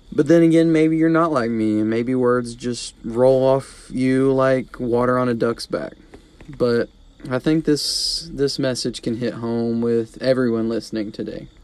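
Over noticeable background noise, a man of medium pitch speaks at a fairly slow pace. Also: ordinary pitch variation. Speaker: devotional podcast host. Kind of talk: short devotional message.

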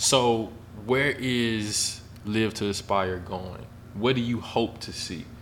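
Heard with audible room echo, a man with a medium pitch speaks very slowly and with fairly even intonation. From Memphis, Tennessee. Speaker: podcast host. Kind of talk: casual interview.

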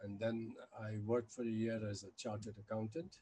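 Fairly quick and flat in a monotone, a man's fairly low voice has a dark, mellow tone and a somewhat breathy quality. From India. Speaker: scholar and anti-nuclear weapons activist. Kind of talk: podcast interview.

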